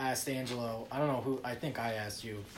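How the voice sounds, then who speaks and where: With an American accent, a man speaks at a fairly quick pace in a medium pitch and monotone, flat intonation, amid noticeable background noise and audible room echo. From New Jersey. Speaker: rock band guitarist and singer. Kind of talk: casual interview chat.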